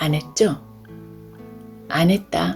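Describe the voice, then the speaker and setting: With music in the background, a woman with a fairly low pitch speaks very slowly, using lively intonation. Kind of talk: audiobook reading.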